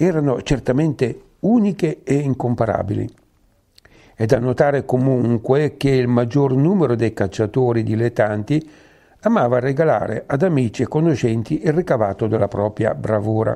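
A man's dark, mellow voice at a medium pitch, with a moderate pace, ordinary pitch variation and very even loudness. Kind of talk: local history reading.

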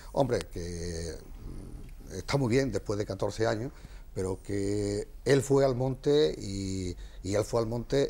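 A man speaks in a dark, mellow tone with vocal fry. His intonation is lively. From Almonte, Andalusia, Spain. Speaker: brotherhood president. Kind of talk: heated debate.

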